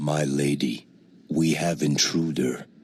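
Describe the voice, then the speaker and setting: In a put-on character voice, a man speaks at a fairly slow pace with a very deep, low pitch and fairly even intonation. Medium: video game.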